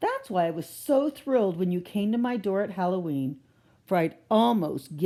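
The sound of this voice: Lively intonation comes through clearly. The delivery is an unforced reading voice.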